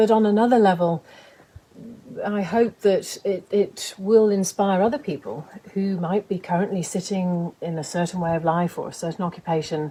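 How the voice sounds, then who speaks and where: A woman speaks in a northern English accent at a medium pitch. Her pace is moderate and her pitch varies in an ordinary way. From England, Lancashire. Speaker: author and game lodge manager. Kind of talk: interview.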